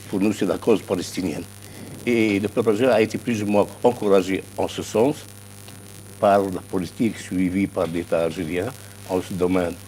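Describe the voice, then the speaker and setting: Fairly low-pitched man, fairly even intonation and long, frequent pauses, over noticeable background noise. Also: moderate pace. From Algeria. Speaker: political science professor. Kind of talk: TV news interview.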